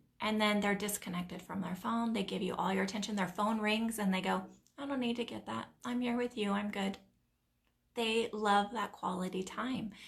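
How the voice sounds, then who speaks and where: The speaker is a woman with a medium pitch and a somewhat breathy voice. Her intonation stays fairly even. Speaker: nail technician and business coach. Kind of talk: live stream talk to a group. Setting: live stream. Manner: fast.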